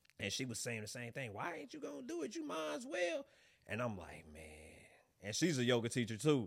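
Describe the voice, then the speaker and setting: A man speaks at a medium pitch with very wide pitch swings and big shifts in loudness. There is vocal fry, and the pace is fairly quick. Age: 30s. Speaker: yoga instructor. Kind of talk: casual chat.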